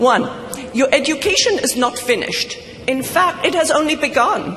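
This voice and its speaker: Amid noticeable background noise, a high-pitched woman speaks at a moderate pace with very even loudness and ordinary pitch variation. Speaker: commencement speaker. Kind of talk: commencement speech. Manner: formal.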